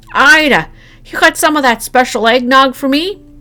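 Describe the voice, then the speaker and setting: In a put-on character voice, a female-sounding speaker talks at a moderate pace, high-pitched, raised, projected and strained. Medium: read story. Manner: thick, strained voice.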